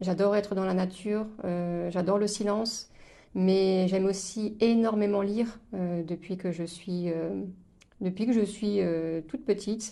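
This woman speaks at a medium pitch with a dark, mellow tone and fairly even intonation. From eastern France, Moselle. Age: 30s. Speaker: podcast guest sharing life story. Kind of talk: casual interview chat. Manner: hesitant, many fillers and repetitions.

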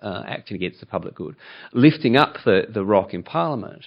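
A man talks at a fairly quick pace in a normal speaking voice. His pitch is fairly low. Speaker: environmental campaign CEO. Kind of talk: panel talk. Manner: humorous, self-deprecating.

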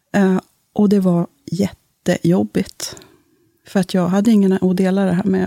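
A woman's medium-pitched voice, dark and mellow, moves at a moderate pace in a flat monotone, the sound dry and close with no echo. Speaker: parish priest. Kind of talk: casual interview. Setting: studio.

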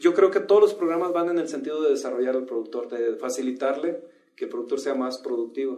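A man with a Mexican accent talks at a fairly quick pace in a high, dark, mellow tone. His intonation is lively. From Mexico, rural farming area. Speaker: agribusiness executive, agronomist. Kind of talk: interview. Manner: hesitant with frequent fillers.

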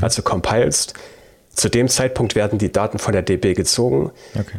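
Speaking at a moderate pace with a slight Thuringian accent, a man uses a fairly low voice with ordinary pitch variation. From Thuringia, Germany. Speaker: YouTube programming tutor. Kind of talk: casual chat.

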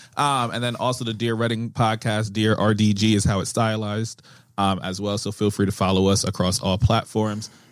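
Fairly low in pitch, a man speaks at a fairly quick pace in a monotone, flat intonation, in a very clean recording with a silent background. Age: 20s. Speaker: English teacher. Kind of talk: casual chat.

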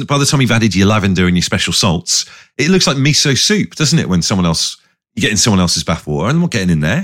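Talking at a very fast pace with an English accent, a man swings his pitch very widely. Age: 40s. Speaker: radio DJ and podcast co-host. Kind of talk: casual chat.

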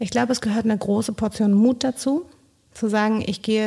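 In a very clean recording with a silent background, a woman speaks at a moderate pace in a dark, mellow tone. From Bolivia. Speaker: social project leader. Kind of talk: interview.

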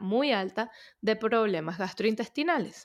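A woman speaks at a fairly slow pace and a medium pitch in a very clean recording with a silent background. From Venezuela. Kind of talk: podcast interview. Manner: halting, with many repetitions and fillers.

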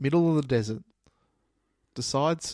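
A man with an Australian accent speaks at a fairly quick pace with lively intonation. The recording is very clean with a silent background. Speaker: podcast co-host. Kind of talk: casual chat. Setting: recording at night.

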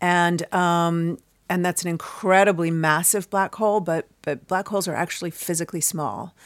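In a plain, everyday voice, a woman with an American accent speaks at a moderate pace with a fairly low pitch and fairly even intonation. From US Midwest (Chicago). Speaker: cosmology professor and author. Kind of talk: interview.

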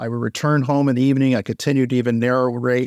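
Enthusiastic in tone, a medium-pitched man with an American accent speaks at a fairly quick pace, the sound dry and close with no echo on a very clean recording with a silent background. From US, grew up in Florida. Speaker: optician and educator. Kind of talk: round-table discussion.

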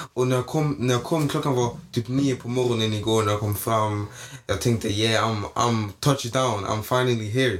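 At a moderate pace, a man speaks at medium pitch with ordinary pitch variation while background noise is noticeable. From Malmö, southern Sweden. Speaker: guest, friend of host. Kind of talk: casual chat.

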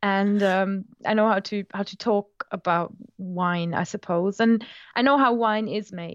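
Over a quiet background, a woman with a German accent speaks at a fairly slow pace and a medium pitch. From Germany, Moselle Valley. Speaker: language tutor and podcaster. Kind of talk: interview conversation. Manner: animated.

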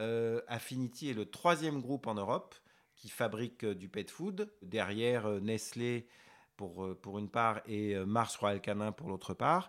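A man speaking at a very slow pace and medium pitch, on a very clean recording with a silent background. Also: ordinary pitch variation. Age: 50s. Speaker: veterinarian. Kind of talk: interview conversation. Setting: veterinary office. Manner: halting, many hesitations.

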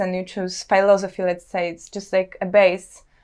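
A woman speaks with a Polish accent. The background is quiet. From Poland, Warsaw. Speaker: visual artist. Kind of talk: interview. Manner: halting.

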